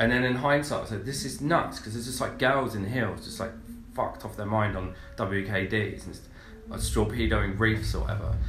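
Through noticeable background noise, a man with a fairly low pitch talks at a fairly quick pace, with ordinary pitch variation and big swings in loudness. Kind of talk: casual chat. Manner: joking, irreverent.

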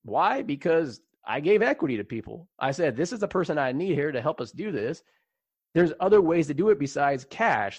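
A man talks at a fairly quick pace with an American accent, his pitch swinging very widely. The background is quiet. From US West Coast, San Jose, California. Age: 30s. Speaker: fintech company founder and CEO. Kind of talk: casual interview.

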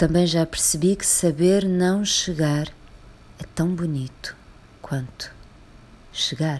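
A woman speaks at a very slow pace with long, frequent pauses. Her fairly low pitch keeps a fairly even intonation. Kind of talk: poem performed, a reflective, literary reading aloud. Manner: slow, contemplative, intimate delivery with weighty pauses and repeated lines.

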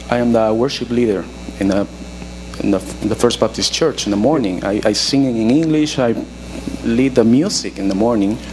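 A man with a Spanish accent speaks at a moderate pace and medium pitch with ordinary pitch variation and long, frequent pauses, amid noticeable background noise and audible room echo. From Peru. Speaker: pastor. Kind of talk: sermon.

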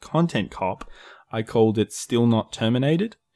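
Speech with lively intonation comes in an Australian accent. The sound is dry and close, with no echo. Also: man, very clean recording, silent background. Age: 20s. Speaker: YouTube creator. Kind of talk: casual chat.

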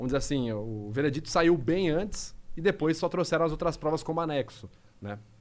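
Talking at a fairly quick pace, a man uses a fairly high pitch and lively intonation. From interior of São Paulo state, Brazil (Rio Claro). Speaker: body language and lie detection analyst. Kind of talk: casual podcast interview.

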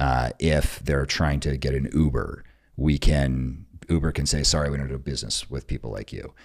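His voice lies very deep and low. There's vocal fry in how this man speaks. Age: 40s. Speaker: military veteran and tech entrepreneur. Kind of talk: casual chat.

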